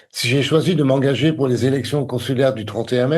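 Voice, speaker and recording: A somewhat breathy man's voice, dark and mellow in tone, at a medium pitch with ordinary pitch variation and a fairly quick pace. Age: 60s. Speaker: election candidate. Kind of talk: campaign statement. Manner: formal.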